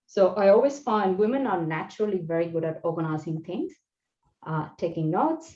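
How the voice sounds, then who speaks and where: In a non-native accent, a woman with a dark, mellow tone speaks at medium pitch and a moderate pace. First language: not English. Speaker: engineering leader giving a talk on career growth. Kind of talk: presentation talk.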